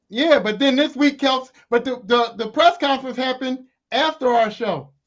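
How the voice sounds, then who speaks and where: This man's voice is loud and extremely high-pitched. He talks at a moderate pace with ordinary pitch variation. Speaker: podcast co-host. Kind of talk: casual chat.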